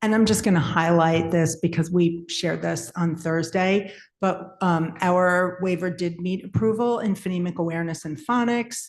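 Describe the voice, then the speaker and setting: A woman speaks in a normal speaking voice, fairly low in pitch, at a moderate pace. Her intonation is fairly even and she leaves hardly any pauses. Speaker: school literacy administrator. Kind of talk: formal presentation.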